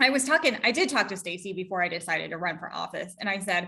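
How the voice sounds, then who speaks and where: A woman's bright, sharp, medium-pitched voice with an American accent. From Georgia, US South. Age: 40s. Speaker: political candidate, state legislator. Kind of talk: interview.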